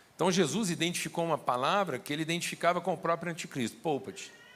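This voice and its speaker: A man talks at a fairly quick pace in a high pitch, using ordinary pitch variation. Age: 60s. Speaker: pastor. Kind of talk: sermon.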